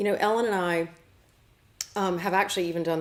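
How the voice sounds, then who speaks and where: A woman with a Southern US accent talks in a fairly low voice with fairly even intonation. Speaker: show host and medium. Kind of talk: casual chat.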